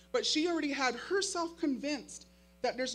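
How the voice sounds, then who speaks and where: A woman speaks with an American accent. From Makah reservation, Neah Bay, Washington. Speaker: high school teacher. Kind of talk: keynote speech.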